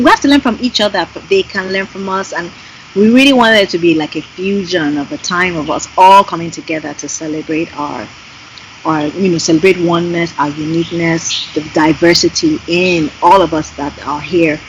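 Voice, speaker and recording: A woman with a Yoruba accent talks over noticeable background noise. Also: fairly low pitch for a woman, ordinary pitch variation, moderate pace. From Nigeria. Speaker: singer and graphic designer. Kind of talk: interview conversation. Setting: Skype call. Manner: animated.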